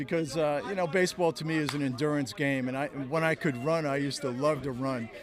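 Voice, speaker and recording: Talking at a very fast pace with hardly any pauses, a man has a fairly high pitch and ordinary pitch variation. Noticeable background noise sits behind him. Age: 70s. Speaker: baseball pitching coach. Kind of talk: interview.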